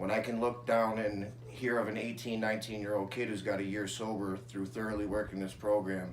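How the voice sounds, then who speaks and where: An American-accented man's fairly low voice, fairly quick and fairly even in intonation, amid noticeable background noise and audible room echo. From Syracuse, New York, US. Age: 20s. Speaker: person in addiction recovery. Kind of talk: interview testimony.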